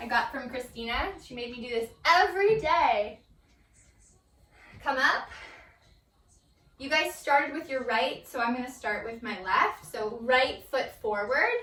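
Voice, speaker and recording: A high-pitched woman speaks in a bright, sharp tone with lively intonation and big swings in loudness. Her pace is fairly slow with long, frequent pauses, and room echo is audible. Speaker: yoga instructor. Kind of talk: guided yoga class. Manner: casual.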